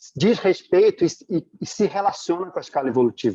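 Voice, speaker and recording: Close and dry, the sound carries no echo at all. Its tone comes across as dark and mellow. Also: man. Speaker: study group teacher. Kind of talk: online lecture. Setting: video call. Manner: fast.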